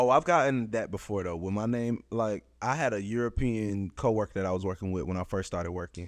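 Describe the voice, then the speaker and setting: A plain, everyday voice belonging to a man runs at a fairly quick pace with hardly any pauses and ordinary pitch variation over a quiet background. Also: fairly low pitch for a man. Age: 20s. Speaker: podcast co-host. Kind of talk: casual chat.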